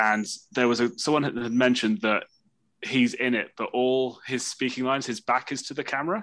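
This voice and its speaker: Speaking fairly quickly in a plain, everyday voice, a man talks at a medium pitch with ordinary pitch variation against a quiet background. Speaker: podcast guest. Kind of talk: casual chat.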